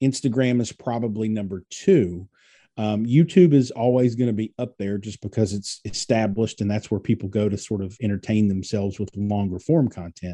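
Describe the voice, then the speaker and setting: A man speaks at a moderate pace in a fairly low voice with a dark, mellow tone and ordinary pitch variation. The sound is dry and close with no echo, against a quiet background. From Kentucky, US. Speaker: digital marketing strategist. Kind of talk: interview.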